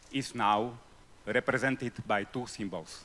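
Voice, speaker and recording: With a bright, sharp tone and medium pitch, a man talks at a fairly slow pace. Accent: non-native. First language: not English. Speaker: audience member asking a question. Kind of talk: festival panel Q&A. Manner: halting.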